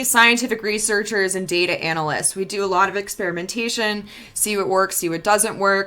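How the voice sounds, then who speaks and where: Speaking at a fairly quick pace, a woman with an American accent sounds animated. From New York, Long Island. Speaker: marketing agency founder. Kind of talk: webinar presentation. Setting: live stream. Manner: casual, animated.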